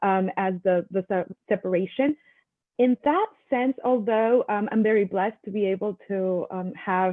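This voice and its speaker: The speaker has a Mexican accent. Pitch moves with ordinary variation. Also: woman. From Mexico. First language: Spanish. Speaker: attorney and panelist. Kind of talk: panel discussion. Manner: halting, many fillers.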